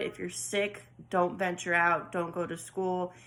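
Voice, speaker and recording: A woman with an American accent talks at a moderate pace. Her tone is bright and sharp. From California. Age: 20s. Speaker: political vlogger. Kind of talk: casual commentary monologue. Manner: halting with many fillers.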